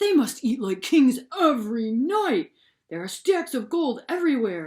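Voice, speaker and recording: A put-on character voice sits at a high pitch. It swings very widely up and down. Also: moderate pace. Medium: read story.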